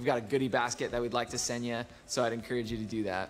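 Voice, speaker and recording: A man's fairly even intonation against light background noise. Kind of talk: announcements. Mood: warm, welcoming. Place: empty room.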